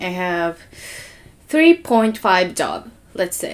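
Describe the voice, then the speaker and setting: This is a woman speaking. Her pace is very slow. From Okinawa. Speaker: digital marketer. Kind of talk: casual chat.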